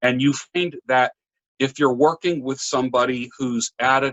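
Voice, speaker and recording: Speaking at medium pitch with ordinary pitch variation, a man has an unremarkable speaking voice. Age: 60s. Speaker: barber and public speaker. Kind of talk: casual interview chat.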